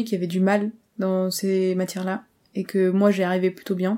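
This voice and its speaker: A woman speaks at a fairly slow pace. Her tone is dark and mellow, and her pitch sits at a medium level. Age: 20s. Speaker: engineering student. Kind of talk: casual interview. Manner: hesitant.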